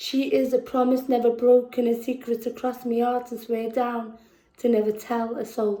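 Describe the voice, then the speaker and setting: With a Liverpool accent, a woman speaks at a moderate pace in a high pitch, her tone dark and mellow and her intonation monotone and flat. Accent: Scouse. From Liverpool, England. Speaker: poet. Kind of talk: poetry performance. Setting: virtual performance. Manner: halting between poems.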